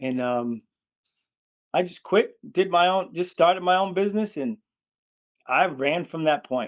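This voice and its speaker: A man with an American accent speaks in a high voice with lively intonation. His pace is fairly slow, broken by long, frequent pauses. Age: 60s. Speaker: dog trainer. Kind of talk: interview.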